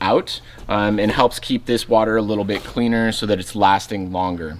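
The pace is moderate. Light background noise sits behind the voice. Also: man. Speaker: river trip guide showing gear. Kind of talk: tutorial. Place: open country.

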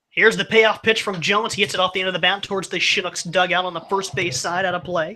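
A high-pitched man speaks at a very fast pace in a raised, projected voice. His intonation is fairly even, with light background noise behind him. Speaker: radio play-by-play announcer. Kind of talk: live baseball play-by-play commentary. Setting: broadcast booth at ballpark. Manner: brisk, fluent, matter-of-fact play-by-play delivery with stats. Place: stadium.

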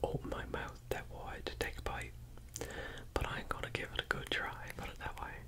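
The speaker is whispering. The pace is fairly quick. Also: man. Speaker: ASMR eating-show host. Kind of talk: casual talk to camera. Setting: home kitchen. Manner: whispered, soft-spoken. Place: home room.

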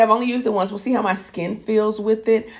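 A woman's voice carries vocal fry over a quiet background. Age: 40s. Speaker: beauty vlogger. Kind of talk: casual product haul video. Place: home room.

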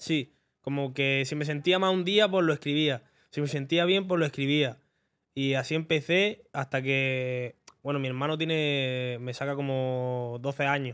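A man with an Andalusian accent talks at a fairly slow pace, fairly high in pitch with ordinary pitch variation, against a quiet background. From Spain, Granada (Andalusia); Andalusia, Spain. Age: 20s. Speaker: rapper; podcast guest. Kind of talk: casual interview. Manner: halting. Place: studio. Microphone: studio mic.

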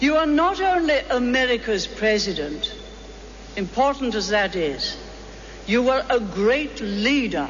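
The voice keeps a very even loudness and moves through very wide pitch swings at a fairly slow pace, with noticeable background noise. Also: woman, high pitch for a woman. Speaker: former prime minister giving a speech. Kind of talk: formal public speech at a birthday fundraising event. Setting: live event, public address.

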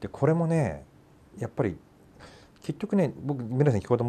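At a fairly quick pace, a man is talking. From Japan. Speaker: talk show host. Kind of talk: casual discussion about films. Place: studio.

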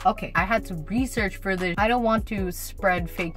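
A woman speaks at a moderate pace. Clear music plays behind her. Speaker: vlogger. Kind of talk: casual vlog chat, Q&A. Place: car. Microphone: phone near.

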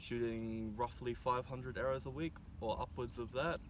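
Light background noise is heard as a man speaks with a New Zealand accent. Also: dry sound with no echo. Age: young. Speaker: archer and university student. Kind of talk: prepared statement to camera. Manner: formal. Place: open country. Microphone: camera far.

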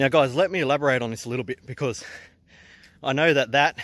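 A fairly high-pitched man with an Australian accent, on a very clean recording with a silent background. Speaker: entrepreneur vlogger. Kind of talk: casual vlog talk. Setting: outdoors hiking.

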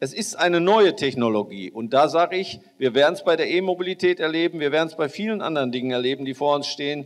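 At a very fast pace with hardly any pauses, a man speaks at a fairly high pitch with lively intonation against a quiet background. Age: 60s. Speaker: farmer and politician; politician. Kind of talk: panel discussion. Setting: stage with audience. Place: hall. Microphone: handheld.

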